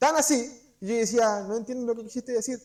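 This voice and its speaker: This man speaks with a Chilean accent at an extremely high pitch. His pitch varies in an ordinary way. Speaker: preacher. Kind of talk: sermon. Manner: fast; halting.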